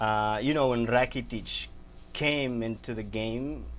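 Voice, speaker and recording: A man speaks with a Spanish accent. His pace is moderate. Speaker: football podcast host. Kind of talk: casual sports chat. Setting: live stream. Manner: halting, stumbling over words.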